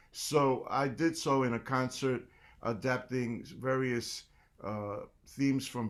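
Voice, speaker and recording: A man with a New York accent speaks at a medium pitch in a very clean recording with a silent background. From New York City, South Bronx. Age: 60s. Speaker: jazz percussionist and band leader. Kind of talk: guest lecture.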